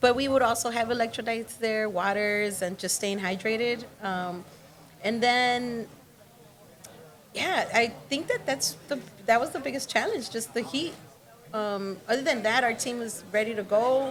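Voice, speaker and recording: Speaking in a normal speaking voice, a woman with a fairly high pitch keeps a moderate pace and ordinary pitch variation. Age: 20s. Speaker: graffiti art instructor. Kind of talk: interview.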